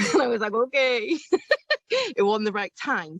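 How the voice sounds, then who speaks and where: With a Welsh accent, a woman speaks at a fairly quick pace in a fairly high pitch, her voice swinging very widely, in dry, close sound with no echo. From South Wales. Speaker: life coach. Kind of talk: interview.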